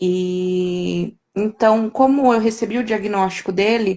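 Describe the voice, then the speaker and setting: In a normal speaking voice, a woman talks at a medium pitch, her intonation fairly even. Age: 30s. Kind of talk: live-stream interview. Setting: online live stream.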